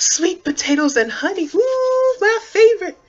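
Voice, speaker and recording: A put-on character voice, squeaky and at an extremely high pitch, moves at a moderate pace. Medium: read story. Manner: eager, scheming.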